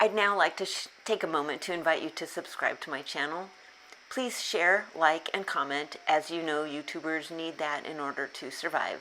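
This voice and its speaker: A woman's very deep, low voice with ordinary pitch variation, big swings in loudness, a moderate pace and noticeable background noise. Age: 60s. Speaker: self-help YouTuber on abuse recovery. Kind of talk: scripted talk to camera.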